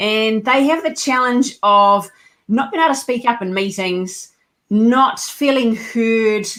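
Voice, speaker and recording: A woman with a slight New Zealand accent and ordinary pitch variation. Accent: slight New Zealand twang. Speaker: leadership coach and company co-founder. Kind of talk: podcast interview.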